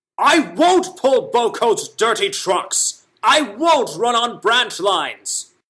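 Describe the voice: A man performs a put-on character voice at an extremely high pitch. He speaks at a very slow pace.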